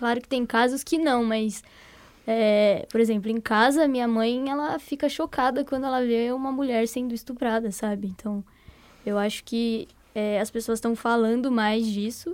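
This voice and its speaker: In an unremarkable speaking voice, a woman speaks at a fairly slow pace with a fairly high pitch and fairly even intonation. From Brazil, São Paulo. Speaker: podcast co-host. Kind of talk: casual chat.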